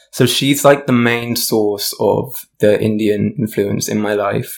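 A man talks with a South London accent. His intonation stays fairly even. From South London, England. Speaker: musician, singer, songwriter, DJ. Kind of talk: casual chat, podcast conversation.

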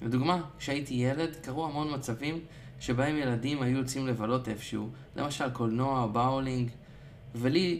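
With audible room echo, a man talks at a medium pitch and moderate pace with fairly even intonation. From Israel. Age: young. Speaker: coaching client and musician. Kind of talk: personal diary monologue.

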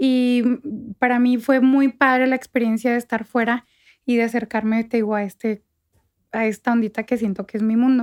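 The sound is dry and close, with no echo. A woman talks at a fairly slow pace with a high pitch. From northern Mexico, Chihuahua state (Parral, Santa Bárbara). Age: 30s. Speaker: fashion stylist. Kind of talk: casual interview.

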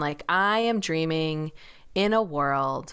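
A woman with an unremarkable speaking voice uses lively intonation. The recording is very clean, with a silent background. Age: 30s. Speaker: tarot reader and dream worker. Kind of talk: interview conversation.

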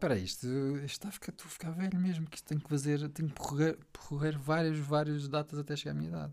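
A man's very fast delivery on a very clean recording with a silent background. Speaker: host's husband. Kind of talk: casual chat. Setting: home office studio.

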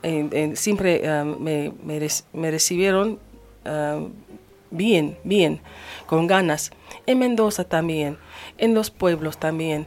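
In an English accent, a woman speaks at a fairly low pitch and a very slow pace. Her speech has long, frequent pauses. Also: ordinary pitch variation. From United States. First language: English (speaking Spanish). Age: 50s. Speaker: singer. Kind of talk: radio interview. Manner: halting.

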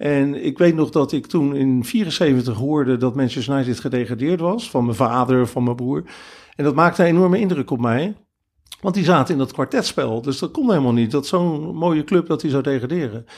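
A man's normal speaking voice, fairly high in pitch, with lively intonation at a moderate pace, on a very clean recording with a silent background. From Netherlands, Rotterdam. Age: 50s. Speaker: football fan, groundhopper. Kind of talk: casual interview. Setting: attic in Veldhoven.

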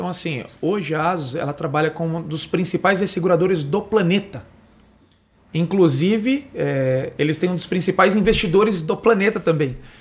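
A moderate pace with ordinary pitch variation. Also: man, high pitch for a man. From Brazil, Osasco (São Paulo area). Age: 30s. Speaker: insurance broker. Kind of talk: simulated sales pitch.

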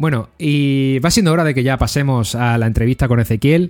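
A man is speaking. His tone is dark and mellow. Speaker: podcast host. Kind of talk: casual chat.

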